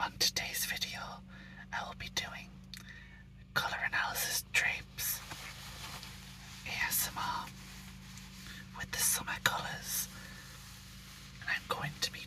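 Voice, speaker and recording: Amid noticeable background noise, a man whispers at a fairly slow pace with long, frequent pauses. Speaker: ASMR creator. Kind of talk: ASMR whispered show-and-tell. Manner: whispered.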